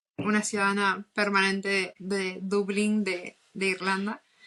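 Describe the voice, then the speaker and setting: A woman's medium-pitched voice, bright and sharp in tone, with monotone, flat intonation at a very slow pace. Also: quiet background. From northern Argentina, Posadas, Misiones. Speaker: podcast co-host. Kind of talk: casual chat.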